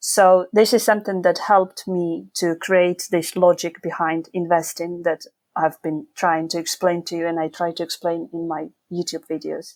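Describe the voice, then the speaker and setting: A woman with a non-native accent speaks in a fairly low pitch with monotone, flat intonation. The recording is very clean, with a silent background. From Ukraine. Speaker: investor and YouTuber. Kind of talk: podcast interview.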